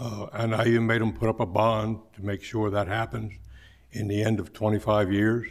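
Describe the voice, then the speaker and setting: At a moderate pace, a man with a fairly low voice and vocal fry keeps his intonation fairly even. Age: 70s. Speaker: farmer. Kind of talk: public hearing testimony. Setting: public meeting room with mic. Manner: halting, many fillers.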